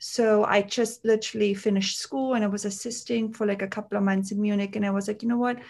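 A woman talks at a very fast pace against a quiet background. Her fairly high pitch stays in a monotone, flat intonation. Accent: German. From Austria, Tyrol ski region near Kitzbühel. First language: German. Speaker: makeup artist and beauty founder. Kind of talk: casual interview.

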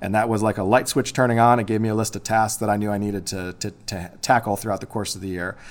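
Rushing at a very fast pace with hardly any pauses, a man speaks in a monotone, flat intonation. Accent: Midwestern American. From US Midwest, Illinois. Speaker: high school English teacher and testing coordinator. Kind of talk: interview.

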